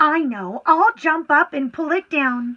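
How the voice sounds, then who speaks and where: Putting on a character voice, a woman speaks fairly slowly at a high pitch. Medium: read story.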